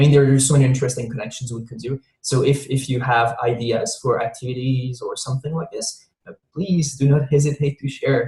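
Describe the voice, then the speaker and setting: A man's dark, mellow, somewhat breathy voice at a fairly quick pace, with fairly even intonation. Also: medium pitch for a man. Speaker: peace education presenter. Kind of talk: presentation in online meeting. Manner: fast; halting, many repetitions.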